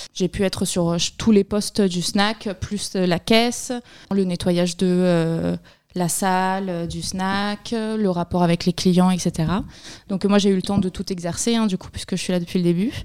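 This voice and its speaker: In a very clean recording with a silent background, a woman at a medium pitch speaks at a fairly slow pace with monotone, flat intonation. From Barcelona, Spain. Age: 20s. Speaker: seasonal snack bar worker. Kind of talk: interview.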